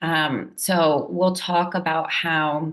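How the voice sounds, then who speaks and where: A woman's fairly low-pitched voice, an unremarkable speaking voice with fairly even intonation. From Puerto Rican raised in US diaspora. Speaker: language educator. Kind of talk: presentation talk.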